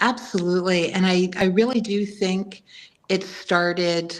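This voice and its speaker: A woman speaks in a normal speaking voice with an American accent, at medium pitch. Her pace is fairly slow and her intonation fairly even. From New York City. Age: 60s. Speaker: author and former healthcare worker. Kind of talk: interview.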